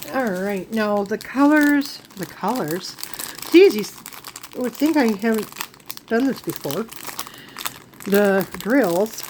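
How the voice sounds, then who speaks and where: Noticeable background noise sits behind a woman speaking at a very slow pace with long, frequent pauses. Her fairly high voice has lively intonation. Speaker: diamond painting craft vlogger. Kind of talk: casual haul video talk. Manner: rambling, self-correcting.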